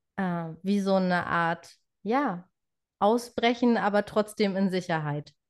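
A woman speaks at a medium pitch in an unremarkable speaking voice against a quiet background. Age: 20s. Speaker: trainee birthkeeper sharing pregnancy loss story. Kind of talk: personal testimony in interview.

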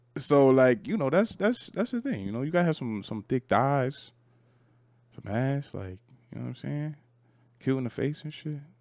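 In a very clean recording with a silent background, a man with a fairly high pitch and very wide pitch swings speaks at a moderate pace, leaving long, frequent pauses. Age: 20s. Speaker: podcast co-host. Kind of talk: casual chat.

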